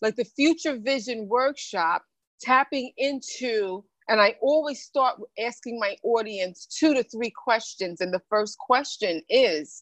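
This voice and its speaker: A normal speaking voice moves at a fairly slow pace with lively intonation. The sound is dry and close, with no echo. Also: woman. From New York (born in the Bahamas). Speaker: motivational speaker and author. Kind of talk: interview.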